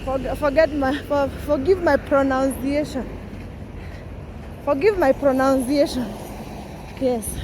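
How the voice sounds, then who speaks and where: Against noticeable background noise, a woman with a high pitch speaks at a fairly slow pace, with long, frequent pauses. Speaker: vlogger. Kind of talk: walking vlog. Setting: outdoors, walking. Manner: animated.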